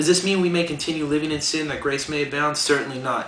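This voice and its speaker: A man, fairly high-pitched and very fast, with fairly even intonation over noticeable background noise. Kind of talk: spoken word poetry performance.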